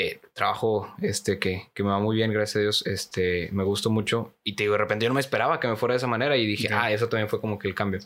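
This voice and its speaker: A man with a Mexican accent talks at a very fast pace and fairly low pitch, with fairly even intonation. His loudness stays very even on a very clean recording with a silent background. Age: 20s. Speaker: conversation club teacher. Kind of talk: casual chat.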